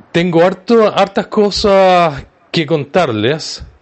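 A man talks at a very slow pace. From Chile. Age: 60s. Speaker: online radio host, support group organizer. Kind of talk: casual livestream talk.

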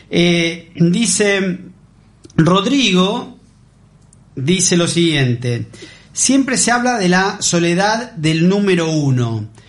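A man's high voice at a very slow pace, with lively intonation, very even loudness, long, frequent pauses and audible room echo. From Argentina. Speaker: radio host. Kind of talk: radio interview. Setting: radio studio. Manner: hesitant, many fillers.

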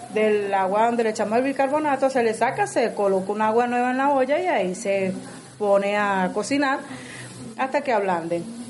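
Over noticeable background noise, a woman with a fairly high pitch speaks at a moderate pace, her loudness very even and her pitch varying in an ordinary way. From Venezuela, Caracas. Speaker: Venezuelan migrant home cook. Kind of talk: casual cooking chat and personal testimony.

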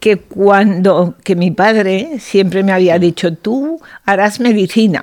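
A woman speaks very slowly. Her pitch is medium, and its variation is ordinary. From Aragon, Spain (Zaragoza). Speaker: portrait painter. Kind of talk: interview. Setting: painter's studio.

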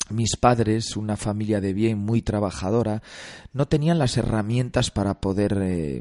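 With a normal speaking voice, a man talks at a moderate pace and a fairly low pitch with ordinary pitch variation, the sound dry and close with no echo over a quiet background. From Galicia, Spain. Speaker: actor and film director. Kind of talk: radio interview. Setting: studio.

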